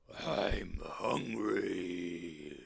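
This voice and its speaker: A man puts on a character voice. It sounds raspy. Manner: roaring, angry.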